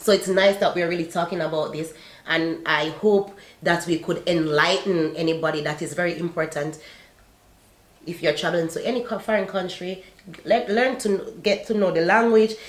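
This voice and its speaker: A woman with a non-native accent and fairly low pitch, ordinary pitch variation and a moderate pace, over noticeable background noise. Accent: non-native accent, says she still has one. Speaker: YouTuber sharing life abroad. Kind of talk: casual chat.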